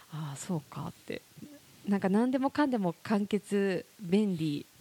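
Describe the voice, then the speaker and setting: With a dark, mellow tone and lively intonation, a woman speaks at a medium pitch in a dry, close sound with no echo. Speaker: podcast co-host and corporate trainer. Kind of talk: casual chat. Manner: animated.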